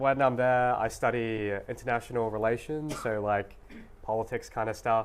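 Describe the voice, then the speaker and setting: The speaker uses an Australian accent, talking at a moderate pace in a monotone, flat intonation. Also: man, medium pitch for a man. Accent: mild suburban Australian. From Australia, Sydney northern beaches. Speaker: university student. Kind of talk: talk show interview. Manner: casual, with many fillers.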